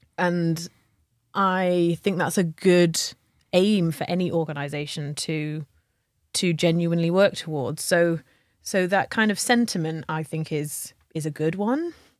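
A woman speaks at a fairly slow pace in a fairly low pitch, with a normal speaking voice and ordinary pitch variation. The recording is very clean, with a silent background. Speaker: podcast co-host, leadership culture consultant. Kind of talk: casual conversation.

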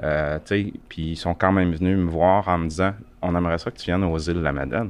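In a Quebec accent, a man talks at a moderate pace in a very deep, low pitch with fairly even intonation. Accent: Québécois French. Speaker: volunteer, electric car owner. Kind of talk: casual group discussion. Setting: makeshift studio at an event.

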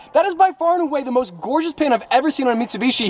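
A man speaks in an animated tone, his pitch swinging very widely, with noticeable background noise behind him. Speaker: car vlogger. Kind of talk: casual vlog. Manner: animated, excitable.

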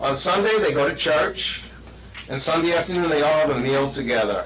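This is a man with a fairly high pitch. His pitch varies in an ordinary way. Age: 60s. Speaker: resident speaking at public comment. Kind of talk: public comment at village board meeting. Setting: village board meeting room. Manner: halting, many fillers and restarts.

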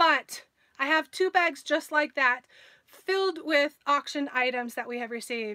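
Against a quiet background, a woman speaks in a raised, projected voice at a fairly slow pace. Her tone is bright and sharp, with lively intonation. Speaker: live stream host. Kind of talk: casual live stream chat. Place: home room. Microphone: phone near.

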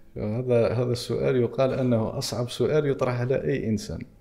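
A man's dark, mellow tone at a moderate pace, with fairly even intonation and very even loudness. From Algeria. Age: 30s. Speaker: entrepreneur and AI/e-commerce expert; podcast guest. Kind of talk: podcast interview; interview answer. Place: studio. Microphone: studio mic.

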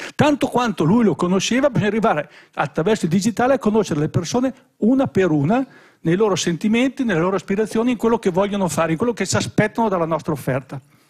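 Here a man speaks at a very fast pace with a high pitch. The background is quiet. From Mantua, northern Italy; northern Italy. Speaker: tech company executive; conference panelist, speaker. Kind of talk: conference presentation. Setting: stage with audience. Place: hall. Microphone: podium.

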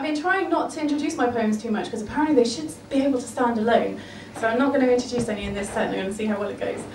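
A woman's high voice at a very fast pace, lively in intonation, with audible room echo and light background noise. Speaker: poet. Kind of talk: spoken word poem performance, rhythmic rhyming verse with comic punchlines. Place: bar.

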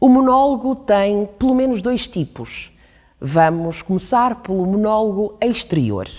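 Speaking fairly slowly in a dark, mellow tone, a woman lets her pitch swing very widely. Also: quiet background. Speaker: actress presenting. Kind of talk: educational explainer. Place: studio. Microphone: lapel.

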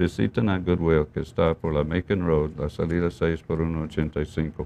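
A man with an English accent and a dark, mellow tone. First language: English (speaking Spanish). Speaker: TV show host, deputy sheriff; talk show host. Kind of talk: community TV interview. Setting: TV studio. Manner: halting, many fillers. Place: studio.

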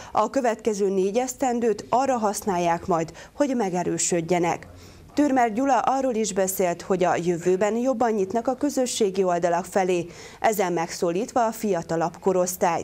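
Speaking at a moderate pace, a woman uses a plain, everyday voice at medium pitch, with ordinary pitch variation and very even loudness. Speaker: news anchor. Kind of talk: TV news reading. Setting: studio. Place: studio. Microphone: lapel.

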